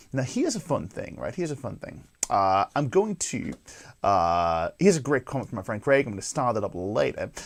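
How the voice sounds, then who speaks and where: A man talks at a fairly quick pace in a medium-pitched voice with vocal fry. His pitch swings very widely. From northeast England. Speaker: guitar teacher and show host. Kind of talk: live-streamed guitar lesson. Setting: live stream to camera. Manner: casual, conversational with filler words.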